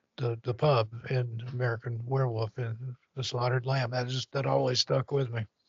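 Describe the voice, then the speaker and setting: Somewhat breathy and medium-pitched, a man talks at a moderate pace in a monotone, flat intonation with hardly any pauses. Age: 60s. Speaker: podcast guest. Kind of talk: casual chat.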